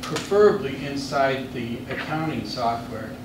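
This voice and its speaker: A man at medium pitch and a fairly slow pace, with audible room echo and noticeable background noise. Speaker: marketing presenter at a board meeting. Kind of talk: business presentation. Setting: public board meeting.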